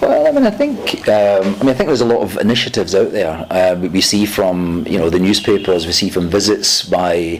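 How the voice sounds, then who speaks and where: A man talks in a Scottish accent. Noticeable background noise sits behind him. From Scotland. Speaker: UN diplomat. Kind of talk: interview. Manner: halting.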